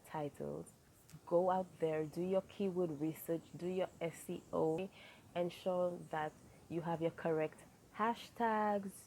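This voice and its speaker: With long, frequent pauses, a woman talks very slowly in a fairly low, dark, mellow tone and fairly even intonation. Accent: Saint Lucian. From Saint Lucia. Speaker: YouTuber. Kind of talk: advice vlog.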